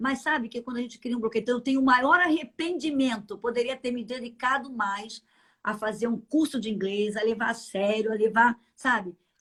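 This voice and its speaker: A woman with a normal speaking voice talks at a fairly quick pace, her pitch fairly high with ordinary variation. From Brazil, Minas Gerais. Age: 60s. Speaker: church leader, pastor's wife. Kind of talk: interview. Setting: live stream.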